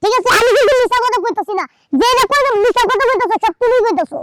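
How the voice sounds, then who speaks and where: This is a put-on character voice at an extremely high pitch. It moves at a very fast pace. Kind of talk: Bangla comedy sketch acting. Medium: comedy sketch. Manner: argumentative, slangy, defensive.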